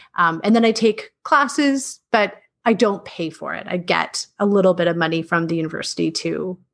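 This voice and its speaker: With a Canadian accent and some vocal fry, a woman at medium pitch speaks at a moderate pace with lively intonation. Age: 30s. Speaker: middle school teacher. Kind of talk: casual interview.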